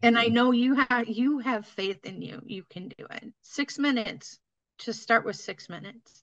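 A woman speaks in an ordinary speaking voice at a moderate pace, her fairly high pitch moving with ordinary variation while her loudness swings widely. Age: 50s. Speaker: fitness content creator. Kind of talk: casual chat.

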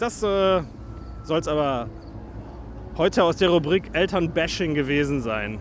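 A man is talking here. Very wide pitch swings run through his voice. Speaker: podcast host. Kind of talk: walking vlog-style commentary. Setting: outdoors in a theme park. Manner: casual, chatty.

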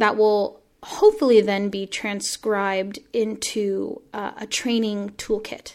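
On a very clean recording with a silent background, a woman with an American accent and a fairly high pitch speaks at a very slow pace in monotone, flat intonation, with big swings in loudness and hardly any pauses. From Washington State, US. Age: 20s. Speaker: playwright and arts activist. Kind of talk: interview conversation.

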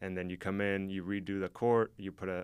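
In a very clean recording with a silent background, a man with a fairly low pitch talks at a fairly quick pace. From Mexico. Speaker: sports lighting marketing manager. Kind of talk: interview.

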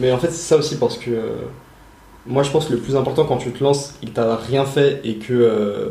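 A man's dark, mellow voice comes through somewhat breathy, with audible room echo around it. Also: medium pitch for a man, ordinary pitch variation, moderate pace. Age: 20s. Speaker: podcast host, young entrepreneur. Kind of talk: casual chat; scripted intro. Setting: in person, on location.

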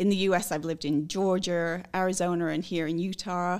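A woman with a British accent at a medium pitch and moderate pace, in a very clean recording with a silent background. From Scotland and England. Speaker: recruiter. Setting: office.

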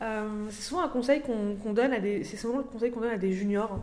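A woman's fairly high voice at a moderate pace, with ordinary pitch variation and audible room echo. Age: 20s. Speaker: UX designer. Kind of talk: casual chat.

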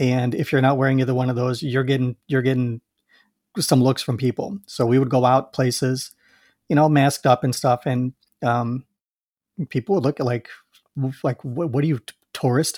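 With an American accent, a man at medium pitch speaks at a moderate pace and fairly even intonation, leaving long, frequent pauses, in dry, close sound with no echo. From US Midwest, Chicago. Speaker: podcast host. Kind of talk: casual chat. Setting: video call.

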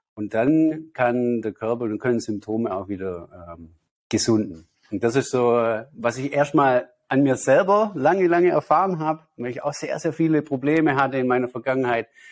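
This man has a normal speaking voice at a medium pitch with lively intonation. His pace is moderate. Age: 30s. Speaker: spiritual healer and meditation teacher. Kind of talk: interview.

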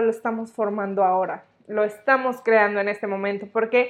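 Over a quiet background, a woman speaks at a fairly slow pace with monotone, flat intonation. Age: 20s. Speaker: podcast host, psychologist. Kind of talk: solo podcast monologue.

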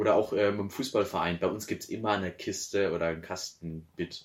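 A plain, everyday voice from a man, pitched fairly low and varying in an ordinary way. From Bavaria. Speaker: podcast co-host. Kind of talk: casual chat.

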